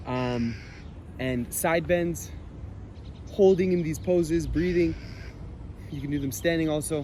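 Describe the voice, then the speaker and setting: There is audible room echo as a man speaks with a fairly high pitch and lively intonation. He leaves long, frequent pauses. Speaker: fitness instructor. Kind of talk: tutorial. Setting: outdoors in a park. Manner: casual; loud.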